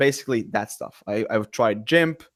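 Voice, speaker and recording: A man speaks at a fairly quick pace with a Latvian accent. His intonation is lively, and the recording is very clean with a silent background. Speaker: entrepreneur and content creator. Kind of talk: casual podcast chat. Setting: live stream. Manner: halting, many repeated words.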